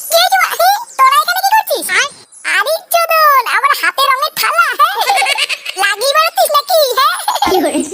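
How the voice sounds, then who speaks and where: A cartoonish character voice at an extremely high pitch, moving at a moderate pace. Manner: swaggering, crude.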